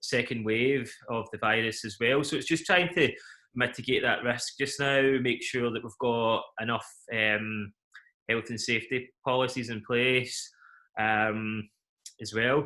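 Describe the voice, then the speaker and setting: A man with a Scottish accent at medium pitch, bright, sharp tone, ordinary pitch variation and moderate pace, on a very clean recording with a silent background. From Scotland, Glasgow. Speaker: event company CEO. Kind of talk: interview.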